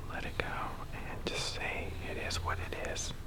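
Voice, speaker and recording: A man whispers over noticeable background noise. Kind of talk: casual talk to camera. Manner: soft whispering.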